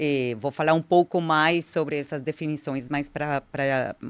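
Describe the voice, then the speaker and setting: With a Colombian accent, a woman speaks at a fairly slow pace in a very deep, low pitch with fairly even intonation, on a very clean recording with a silent background. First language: Spanish (speaking Portuguese). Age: 50s. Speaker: diversity consultant, anthropologist. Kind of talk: interview.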